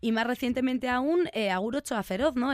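A woman with a plain, everyday voice talks at a fairly quick pace with ordinary pitch variation in a very clean recording with a silent background. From Basque Country, Vitoria-Gasteiz. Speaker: radio host. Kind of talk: radio interview; radio show presenting.

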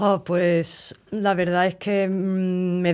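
On a very clean recording with a silent background, a woman speaks in a fairly low pitch. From Cádiz, Andalusia, Spain. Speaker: flamenco guitarist. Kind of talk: interview.

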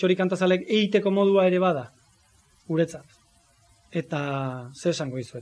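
A normal speaking voice from a man, his intonation fairly even. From Zarautz, Gipuzkoa, Basque Country. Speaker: music teacher and writer. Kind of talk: talk at book presentation. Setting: live event with audience.

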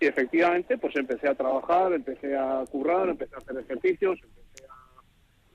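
In a dry, close sound with no echo, the man has a plain, everyday voice pitched fairly high, with ordinary variation. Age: 30s. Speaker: truck driver and adult student. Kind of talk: radio interview.

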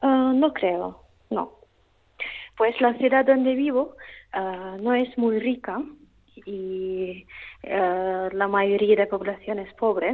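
Very slow and full of long, frequent pauses, a woman with a Russian accent talks at a medium pitch. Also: ordinary pitch variation. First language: Russian (speaking Spanish). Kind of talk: phone interview. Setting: phone call. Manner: halting.

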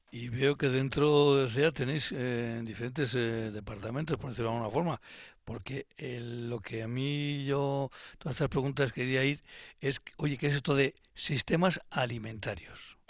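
Against a quiet background, a man with a medium pitch speaks in a plain, everyday voice at a fairly slow pace with ordinary pitch variation. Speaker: radio host. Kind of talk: radio interview. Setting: radio studio.

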